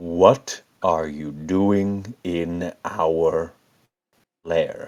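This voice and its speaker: Using a put-on character voice, a man sounds gravelly and resonant with a very deep, low pitch. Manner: menacing, challenging.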